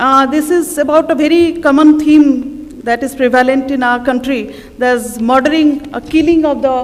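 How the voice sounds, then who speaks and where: A woman speaks at a moderate pace in a high pitch with an Odisha accent, her pitch varying in an ordinary way over noticeable background noise. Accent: Indian English, Odia. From India, Odisha (Cuttack). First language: Odia. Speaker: writer. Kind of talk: festival talk. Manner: halting.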